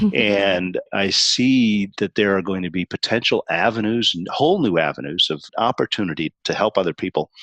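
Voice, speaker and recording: A man with an ordinary speaking voice talks at a moderate pace in a fairly low pitch, with hardly any pauses. His pitch variation is ordinary, and the sound is dry and close with no echo. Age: 60s. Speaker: business consultant and author. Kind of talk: podcast interview.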